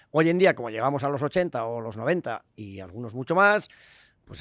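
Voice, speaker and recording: A man's lively intonation in a very clean recording with a silent background, dry and close with no echo. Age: 70s. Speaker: veterinarian and hospital founder. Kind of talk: interview conversation.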